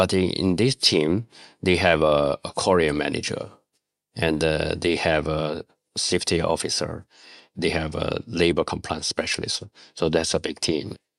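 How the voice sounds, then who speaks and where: In a Chinese accent, a man with a very deep, low pitch speaks with fairly even intonation in a dry, close sound with no echo. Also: moderate pace. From China, Shanxi. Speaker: garment compliance auditor. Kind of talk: interview. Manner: halting.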